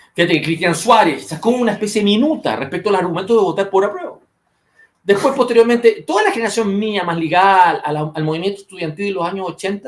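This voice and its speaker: A man speaks very fast in a Chilean accent. His voice is high-pitched and animated. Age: 50s. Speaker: political commentator. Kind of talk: political discussion podcast.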